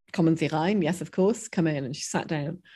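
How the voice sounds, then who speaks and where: A somewhat breathy woman's voice, fairly low in pitch, against a quiet background. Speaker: professor. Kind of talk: interview discussion.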